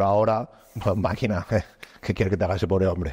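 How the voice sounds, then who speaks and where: Over a quiet background, a man speaks very fast with fairly even intonation. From Spain. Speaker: entrepreneur; podcast co-host. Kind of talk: casual chat. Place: gym. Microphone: lapel.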